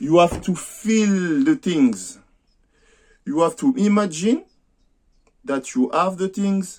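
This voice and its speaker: A man with a French accent speaks in a high voice with lively intonation, at a very slow pace broken by long, frequent pauses. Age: 50s. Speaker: amateur boxer and vlogger. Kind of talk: personal vlog monologue. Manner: halting, many hesitations.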